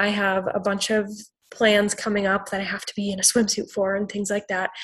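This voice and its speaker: This somewhat breathy voice moves at a fairly quick pace with an American accent. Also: woman. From Wisconsin. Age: 20s. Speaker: mental health counselor. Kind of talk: interview.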